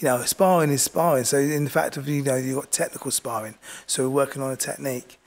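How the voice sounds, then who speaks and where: The speaker has a southern English accent and fairly even intonation. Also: man. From southern England. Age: 50s. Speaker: boxing coach. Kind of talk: interview. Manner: halting.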